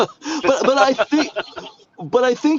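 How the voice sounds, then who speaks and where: In a Pittsburgh accent, a man speaks at a fairly slow pace. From Pittsburgh area, western Pennsylvania. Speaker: podcast host. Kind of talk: casual podcast interview.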